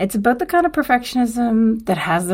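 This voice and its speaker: A woman whispers quietly on a very clean recording with a silent background. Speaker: podcast host. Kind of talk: solo podcast monologue. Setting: dorm room. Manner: quiet, near whisper.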